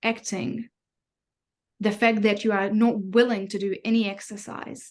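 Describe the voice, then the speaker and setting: A woman's fairly high, monotone voice with flat intonation and a non-native accent, at a fairly slow pace with long, frequent pauses over a quiet background. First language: not English. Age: 30s. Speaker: mindfulness coach. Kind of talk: online class.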